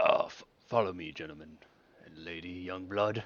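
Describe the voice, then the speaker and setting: Putting on a character voice, a man talks at a moderate pace in a very deep, low, raspy register. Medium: actual play. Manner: halting, stumbling speech.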